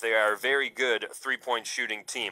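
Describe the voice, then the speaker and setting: With a bright, sharp tone, a man speaks at a moderate pace and keeps his intonation fairly even. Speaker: radio color commentator. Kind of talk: live radio sports commentary, game recap and analysis. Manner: conversational, analytical, measured; relaxed pace, fillers like 'uh'.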